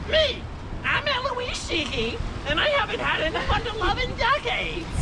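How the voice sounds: Over loud background noise, a female-sounding, croaky put-on character voice at extremely high pitch speaks at a moderate pace.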